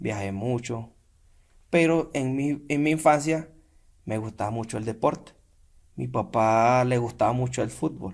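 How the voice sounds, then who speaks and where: A man speaks with a Venezuelan accent at a medium pitch. His pace is fairly slow and his pitch varies in an ordinary way. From Venezuela, San Carlos, Cojedes. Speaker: podcast guest, Venezuelan immigrant. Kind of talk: casual interview chat.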